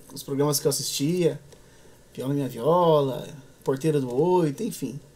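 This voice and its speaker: A man's voice moves at a medium tempo, its pitch varying in an ordinary way. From interior of São Paulo state, Brazil (Echaporã/Marília); São Paulo state, Brazil. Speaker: musician, viola player and composer; guest. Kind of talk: interview conversation. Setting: studio. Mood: relaxed, warm storytelling. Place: studio.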